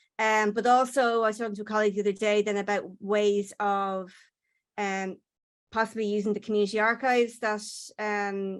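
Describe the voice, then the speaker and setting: In an Irish accent, a woman speaks at medium pitch and a moderate pace. Her intonation stays flat and monotone over a very clean recording with a silent background. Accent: Irish, software struggles with it. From Ireland. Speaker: postdoctoral researcher. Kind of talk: conference presentation. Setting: conference session. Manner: hesitant, many fillers and repetitions.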